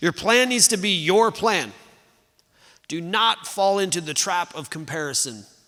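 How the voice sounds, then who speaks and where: A man's high-pitched voice with a bright, sharp tone, lively intonation and a fairly slow pace. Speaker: pastor. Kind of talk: sermon.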